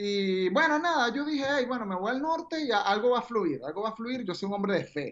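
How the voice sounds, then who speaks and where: A woman speaks with a strong Venezuelan accent. Her intonation is lively. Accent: strong Venezuelan, deliberately emphasized. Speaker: radio announcer. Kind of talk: casual chat.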